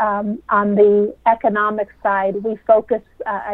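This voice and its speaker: An ordinary speaking voice from a woman, medium in pitch, with fairly even intonation. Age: 40s. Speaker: travel company managing director. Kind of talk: interview.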